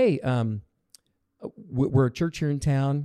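The voice has a dark, mellow tone and an American accent at a moderate pace. The recording is very clean, with a silent background. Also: man. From Oregon, US. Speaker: pastor. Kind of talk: interview. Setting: studio.

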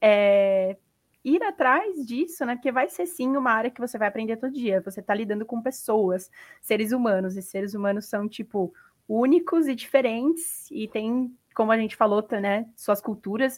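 A woman's ordinary speaking voice, fairly high in pitch, with ordinary pitch variation and a moderate pace. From Brazil. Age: 20s. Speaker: sales representative. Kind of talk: casual chat.

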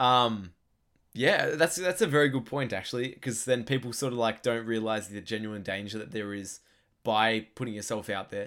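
A bright, sharp tone in an Australian accent, at a fairly quick pace with ordinary pitch variation. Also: man. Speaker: podcast co-host. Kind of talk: casual chat. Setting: online call.

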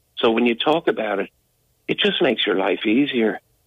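Speaking with an American accent, a man talks at a moderate pace and medium pitch with ordinary pitch variation. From Dublin, Ireland. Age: 50s. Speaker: abuse survivor, interviewee. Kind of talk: radio interview testimony. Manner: halting, repeats words.

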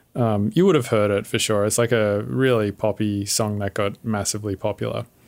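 This man has an ordinary speaking voice, fairly low in pitch, with fairly even intonation and a moderate pace. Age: 30s. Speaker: podcast host. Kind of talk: casual interview chat. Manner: casual, laid-back.

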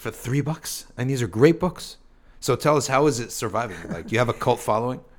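This is an ordinary speaking voice, with ordinary pitch variation at a fairly quick pace. The recording is very clean, the background silent. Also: man, medium pitch for a man. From US East Coast. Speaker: podcast host. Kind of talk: casual chat.

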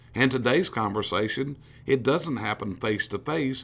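A man talks at a fairly quick pace. His tone is animated. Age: 60s. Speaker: business coach. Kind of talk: motivational talk.

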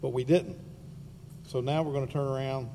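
Talking at a very fast pace, a man uses a medium pitch and fairly even intonation, with a dark, mellow tone that is somewhat breathy. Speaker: school board member. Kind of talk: public meeting discussion.

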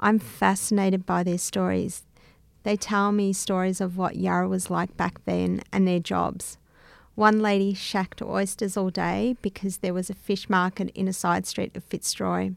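Someone with an Australian accent speaks at a moderate pace on a very clean recording with a silent background. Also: woman. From Melbourne, Australia (inner north, Greek Australian). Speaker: bicultural liaison officer.

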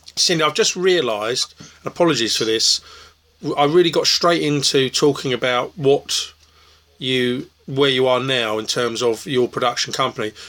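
Over noticeable background noise, a man of medium pitch speaks at a moderate pace with ordinary pitch variation. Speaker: festival interviewer. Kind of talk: casual interview. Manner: hesitant, filler-heavy.

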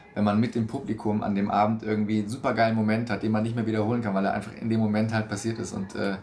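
Audible room echo surrounds a man who talks at a very fast pace, his fairly low pitch delivered in a monotone, flat intonation. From Stuttgart, southwestern Germany. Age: 20s. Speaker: stage actor. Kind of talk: interview. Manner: hesitant, many fillers.

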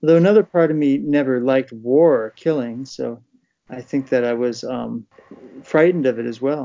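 This man has a plain, everyday voice with an American accent and a medium pitch. He talks at a moderate pace with ordinary pitch variation. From US Northeast, Poughkeepsie New York. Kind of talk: casual discussion.

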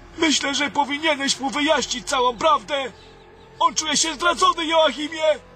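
A man with an extremely high voice projects loudly over noticeable background noise, his pitch varying in an ordinary way. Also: moderate pace. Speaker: weak wizard character in audio drama. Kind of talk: fantasy audio drama, theatrical dialogue. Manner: weary, anxious, formal.

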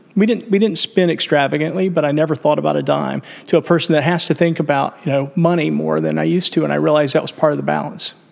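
A man rushes along at a very fast pace, barely pausing, while noticeable background noise carries on behind him. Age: 50s. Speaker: entrepreneur. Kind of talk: casual chat.

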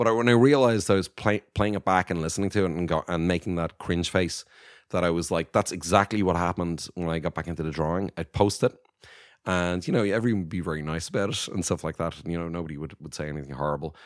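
A man talks very fast in an Irish accent. His very deep, low pitch shows ordinary variation. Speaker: animation studio co-founder. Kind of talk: casual interview. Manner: hesitant, many fillers.

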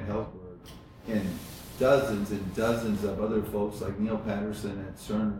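This man has a fairly low voice and fairly even intonation. He talks at a moderate pace amid audible room echo. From Iowa, US Midwest (small town). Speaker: entrepreneur, coffee company founder. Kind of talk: interview.

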